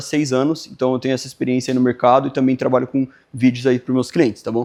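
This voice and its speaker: A man's medium-pitched voice at a very fast pace. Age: 20s. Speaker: video editor and workshop instructor. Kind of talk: workshop lecture. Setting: live workshop with audience. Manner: halting, with frequent fillers.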